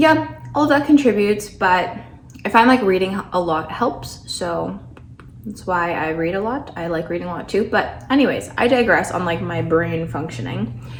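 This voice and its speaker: Over noticeable background noise and audible room echo, a woman with a fairly low pitch speaks at a moderate pace with very wide pitch swings. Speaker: lifestyle vlogger. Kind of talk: casual vlog talk to camera. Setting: at home in condo.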